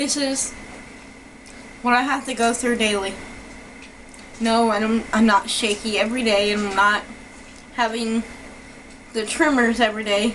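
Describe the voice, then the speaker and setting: The speech has long, frequent pauses and fairly even intonation. Background noise is noticeable. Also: woman, moderate pace. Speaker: video diarist living with epilepsy. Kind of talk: personal video diary. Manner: shaky, halting.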